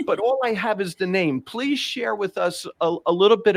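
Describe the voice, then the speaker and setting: With a New York accent, the voice makes very wide pitch swings in a dry, close sound with no echo. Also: man. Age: 60s. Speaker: podcast host. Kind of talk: casual interview.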